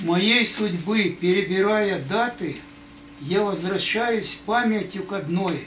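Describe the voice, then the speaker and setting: A man with a high pitch talks at a very slow pace, with audible room echo and light background noise. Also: ordinary pitch variation. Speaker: grandfather. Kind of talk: reading aloud. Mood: tender, sentimental. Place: home room. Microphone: phone near.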